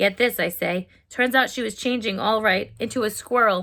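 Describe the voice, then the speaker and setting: A female-sounding, put-on character voice speaks at a moderate pace with a fairly high pitch and a raspy quality. The recording is very clean with a silent background. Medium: read story. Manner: excitable, cocky.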